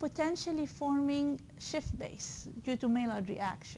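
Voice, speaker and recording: A woman speaks at a very slow pace in a high voice. Her tone is dark and mellow. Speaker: university lecturer. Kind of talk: lecture. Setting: classroom with students. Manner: animated.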